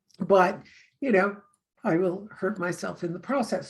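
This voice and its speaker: Somewhat breathy, a woman at medium pitch speaks at a moderate pace. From Canada. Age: 60s. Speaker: tarot reader. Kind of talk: casual chat.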